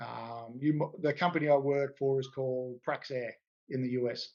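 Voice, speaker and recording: Speaking at a moderate pace with an Australian accent, the voice keeps a fairly even intonation. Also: man. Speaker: car club president. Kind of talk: interview. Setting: video call. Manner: halting.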